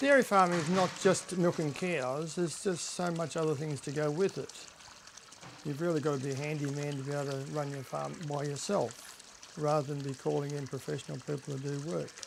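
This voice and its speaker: Over noticeable background noise, a man with an Australian accent talks at a fairly quick pace, his pitch fairly high and his intonation fairly even. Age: 70s. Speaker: dairy farmer. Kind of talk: interview.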